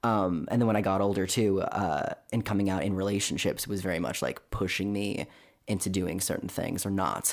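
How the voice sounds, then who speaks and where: Over a silent background in a very clean recording, a man with a Californian accent speaks in a monotone, flat intonation at very even loudness. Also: fairly low pitch for a man, moderate pace. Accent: Californian American. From Southern California, Orange County. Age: 20s. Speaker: podcast guest sharing personal story. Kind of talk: casual interview testimony. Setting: studio, in person.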